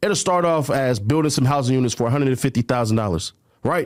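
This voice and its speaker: A man with an American accent speaks at a very fast pace. The recording is very clean, with a silent background. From California. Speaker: media personality. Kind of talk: casual chat.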